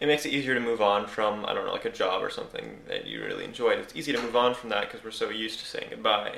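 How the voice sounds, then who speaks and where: Amid noticeable background noise and audible room echo, a man talks at a very fast pace with hardly any pauses. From Costa Rica and Canada. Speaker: podcast host. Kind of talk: casual chat.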